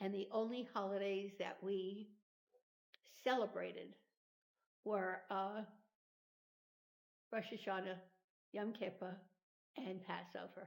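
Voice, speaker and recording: A woman speaks at a medium pitch in a monotone, flat way. Her pace is fairly slow, with long, frequent pauses. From New York City (Manhattan). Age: 90s. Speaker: podcast guest, grandmother. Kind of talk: interview, life story.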